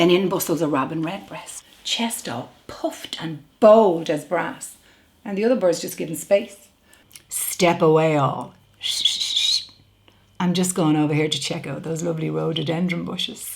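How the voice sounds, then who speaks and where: A woman with a Dublin accent talks at a moderate pace and a fairly low pitch, with ordinary pitch variation. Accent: Dublin Irish. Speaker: actor. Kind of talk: dramatic monologue.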